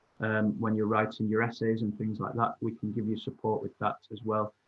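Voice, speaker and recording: A man with a northern English accent talks at a medium pitch. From northern England. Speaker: university representative. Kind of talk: Q&A answers.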